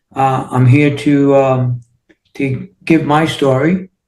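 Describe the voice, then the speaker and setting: A man's fairly high, somewhat breathy voice with a New York accent and fairly even intonation. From New York City, Queens. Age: 60s. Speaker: entrepreneur and healing coach. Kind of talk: interview.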